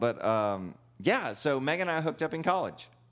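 A normal speaking voice from a man, fairly high in pitch with lively intonation. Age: 40s. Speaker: small business owner. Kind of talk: casual chat.

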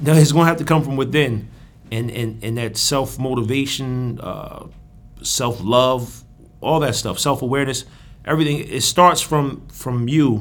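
A man with a New York accent at a moderate pace, with audible room echo. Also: medium pitch for a man, ordinary pitch variation. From New York (Queens, Long Island). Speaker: university recreation director. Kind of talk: casual chat. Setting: university recreation center.

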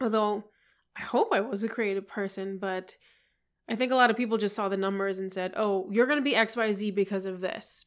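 This is a woman with a normal speaking voice. Her intonation is fairly even. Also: medium pitch for a woman, fairly quick pace. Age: 20s. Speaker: nurse running for Congress. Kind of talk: casual chat.

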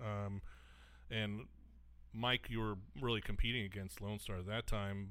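An ordinary speaking voice from a man, fairly low in pitch, at a moderate pace. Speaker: podcast host. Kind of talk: casual interview chat.

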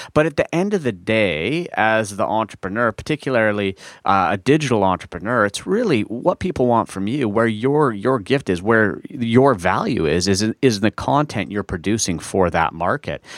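A normal speaking voice moves at a moderate pace with hardly any pauses and lively intonation. The recording is very clean, with a silent background and a dry, close sound with no echo. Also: man, medium pitch for a man. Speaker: podcast host. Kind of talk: podcast intro and interview.

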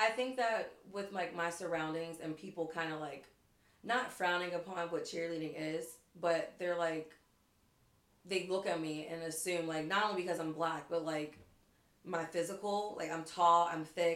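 With an American accent, the speaker keeps a moderate pace and fairly even intonation. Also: woman, fairly low pitch for a woman. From Western Pennsylvania (Pittsburgh area). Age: 30s. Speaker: cheerleading coach. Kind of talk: casual chat.

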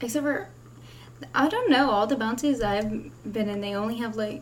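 A woman's fairly high voice with lively intonation and audible room echo. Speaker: podcast co-host, parent. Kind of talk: casual chat. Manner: hesitant. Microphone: echoey sound.

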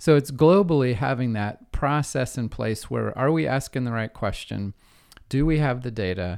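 With an American accent and an unremarkable speaking voice, a man at medium pitch uses lively intonation at a moderate pace on a very clean recording with a silent background. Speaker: data analytics consultant. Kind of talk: interview.

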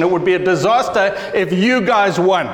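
There is noticeable background noise behind this man. He speaks in an animated tone with ordinary pitch variation. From Zimbabwe. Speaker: pastor. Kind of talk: sermon. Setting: church.

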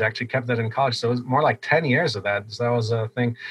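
A man with a normal speaking voice, medium pitch and ordinary pitch variation. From Poland, moved to US around age 10. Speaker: open source hardware founder, engineer. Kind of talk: interview conversation.

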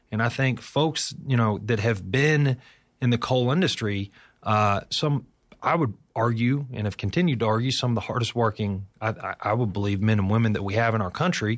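Speaking with an Appalachian accent, a man has medium pitch and ordinary pitch variation. His pace is moderate, and the background is quiet. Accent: Appalachian Kentucky. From Kentucky. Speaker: agriculture company founder. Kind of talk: radio interview. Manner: halting, many repeats and fillers.

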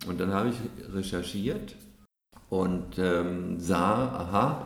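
A man speaks with a very deep, low pitch. Room echo is audible around his voice. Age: 70s. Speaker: running group founder. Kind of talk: podcast interview. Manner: halting, many fillers.

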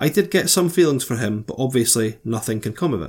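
With lively intonation and a fairly quick pace, this is an ordinary speaking voice. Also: man. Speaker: podcast host reading listener problems. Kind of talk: casual comedic banter. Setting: recorded microphone podcast.

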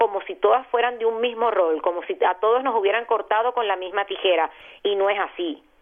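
Speaking at a fairly quick pace, a woman with a Venezuelan accent uses a medium pitch and ordinary pitch variation. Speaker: journalist, radio presenter and YouTuber. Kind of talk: interview. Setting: phone call.

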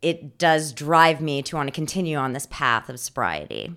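Moderate-paced speech with an American accent, on a very clean recording against a silent background. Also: woman. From Indiana, family from California. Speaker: recovering alcoholic sharing her story. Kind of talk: personal testimony in casual conversation.

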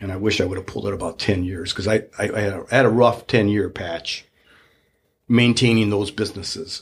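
With an American accent, a man speaks fairly quickly at a fairly low pitch, his voice somewhat breathy and his intonation fairly even. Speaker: real estate broker. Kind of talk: casual chat.

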